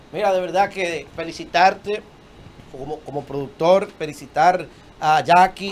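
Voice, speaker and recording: A man talks at a fairly slow pace in a high voice. His pitch varies an ordinary amount. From Dominican Republic. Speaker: talk show host. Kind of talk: casual interview chat. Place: studio. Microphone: handheld.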